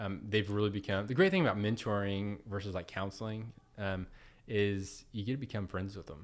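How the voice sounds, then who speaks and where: An unremarkable speaking voice with an American accent, fairly quick and fairly even in intonation, on a very clean recording with a silent background. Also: man, fairly low pitch for a man. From Oklahoma, Edmond. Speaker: business executive. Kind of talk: casual chat.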